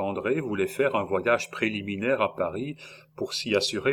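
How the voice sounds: Someone reads in a natural voice.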